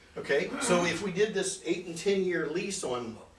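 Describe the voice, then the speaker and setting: A man's speech comes through with noticeable background noise and audible room echo. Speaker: financial seminar presenter. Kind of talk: seminar presentation with Q&A. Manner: fast.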